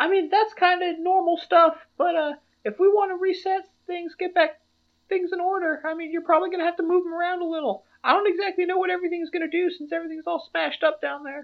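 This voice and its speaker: This put-on character voice is squeaky and extremely high in pitch. It races along at a very fast pace. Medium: actual play. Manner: casual, folksy.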